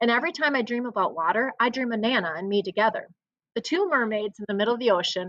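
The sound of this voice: The delivery is an unforced reading voice with ordinary pitch variation. The background is quiet.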